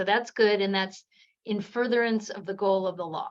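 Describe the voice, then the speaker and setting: Fairly even intonation in a medium-pitched female voice. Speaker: law professor. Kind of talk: academic seminar discussion. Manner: fast.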